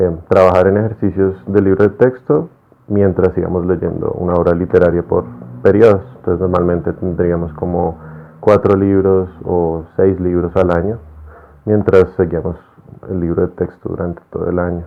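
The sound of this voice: A man talks at a moderate pace. His pitch is low, with little movement.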